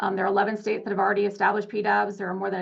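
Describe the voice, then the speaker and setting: The woman's intonation is monotone and flat, with vocal fry throughout. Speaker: advocacy organization representative. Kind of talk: public comment at board meeting. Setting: public board meeting. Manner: fast.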